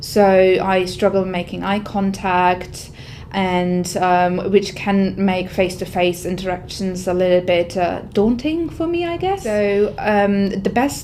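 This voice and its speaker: A woman speaks at a fairly slow pace and medium pitch. There is noticeable background noise and audible room echo. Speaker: IT workforce manager. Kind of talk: testimony. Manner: loud; halting.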